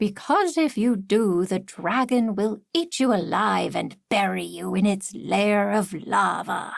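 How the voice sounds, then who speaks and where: Putting on a character voice, a woman speaks fairly slowly at medium pitch. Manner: mock-serious.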